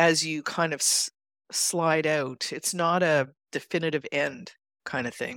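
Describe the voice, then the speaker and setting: A woman speaks with a Canadian accent. The recording is very clean, with a silent background. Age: 60s. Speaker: financial coach. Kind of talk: interview. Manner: high-energy, straight-talking.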